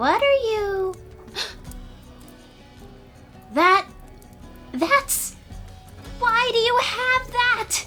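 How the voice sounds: A woman uses a put-on character voice with an extremely high pitch, a bright, sharp tone and lively intonation. She speaks at a very slow pace, with faint music in the background.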